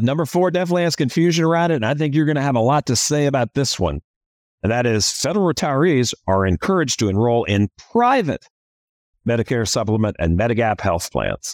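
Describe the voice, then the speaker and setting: Upbeat and enthusiastic in tone, a man speaks at a very fast pace and medium pitch with very wide pitch swings and very even loudness, the sound dry and close with no echo. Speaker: podcast host and financial planning firm founder. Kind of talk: podcast interview. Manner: upbeat, enthusiastic.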